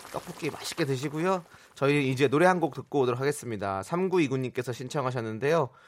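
Using a normal speaking voice, the speaker moves at a fairly quick pace with ordinary pitch variation. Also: man, medium pitch for a man. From Incheon, South Korea. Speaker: radio host. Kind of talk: casual chat.

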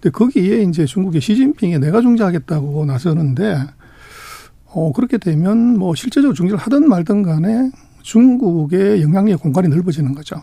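At a moderate pace, a man talks with a high pitch and very wide pitch swings. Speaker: economics research institute director. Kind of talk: interview.

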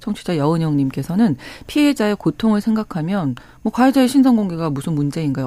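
A woman's voice with a dark, mellow tone moves at a moderate pace. Her pitch swings very widely. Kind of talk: radio current affairs talk. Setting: radio studio. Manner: formal.

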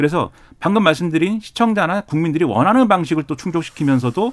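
A man's fairly high voice at a very fast pace. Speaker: political commentator. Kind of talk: panel discussion.

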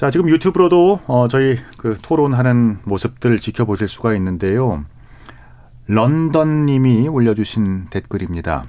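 Using a dark, mellow tone, a man speaks at a fairly slow pace and medium pitch with very wide pitch swings. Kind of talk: radio panel discussion moderation. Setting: radio studio.

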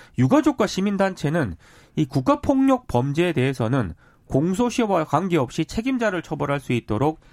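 With very wide pitch swings, a man with a high pitch speaks at a moderate pace. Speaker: news reporter. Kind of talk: news briefing. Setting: studio.

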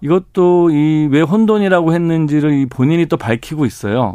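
Fairly high for a man, his voice has a dark, mellow tone. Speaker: investment and pension expert. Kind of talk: radio interview. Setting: studio.

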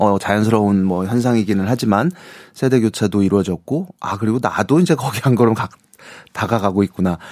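A man with an unremarkable speaking voice talks at medium pitch, with ordinary pitch variation. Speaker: music critic. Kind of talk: casual chat. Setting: studio.

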